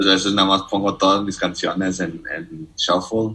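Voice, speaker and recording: At a fairly slow pace, a man speaks with a very deep, low pitch and a bright, sharp tone. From Mexico, Nuevo Laredo, Tamaulipas. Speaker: economics student. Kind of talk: casual chat. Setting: studio.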